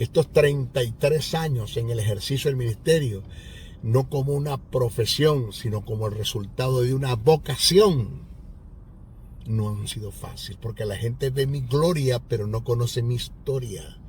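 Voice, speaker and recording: Ordinary pitch variation at a fairly slow pace, with audible room echo. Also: man, medium pitch for a man. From Venezuela, Maracaibo (Zulia). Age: 60s. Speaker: pastor and Bible teacher. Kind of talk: sermon; testimony.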